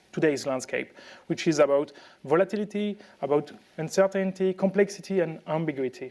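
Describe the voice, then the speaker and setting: Speaking with a French accent at a fairly quick pace, a man uses a high pitch with ordinary variation. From France. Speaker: tech speaker. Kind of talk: conference talk. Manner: halting, many fillers.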